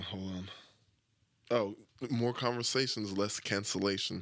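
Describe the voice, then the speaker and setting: A man mumbles at a moderate pace and a fairly low pitch, his intonation fairly even. The recording is very clean, with a silent background. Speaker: podcast host. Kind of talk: casual monologue. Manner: mumbling; talks without moving lips.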